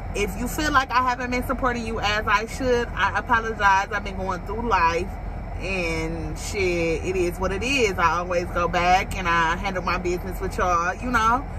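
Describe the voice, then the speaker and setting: A woman talks at a moderate pace with ordinary pitch variation as noticeable background noise runs underneath. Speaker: vlogger. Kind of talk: casual vlog chat. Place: car. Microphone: phone near.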